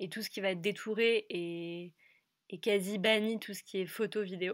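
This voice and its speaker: A woman's medium-pitched voice at a fairly slow pace and fairly even intonation, on a very clean recording with a silent background. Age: 20s. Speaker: food brand co-founder. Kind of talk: interview.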